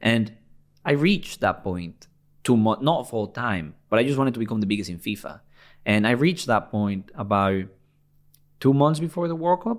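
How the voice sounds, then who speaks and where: A man with a Spanish accent at a medium pitch and moderate pace, his pitch swinging very widely, with long, frequent pauses. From Venezuela. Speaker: football gaming YouTuber. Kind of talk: interview. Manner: animated.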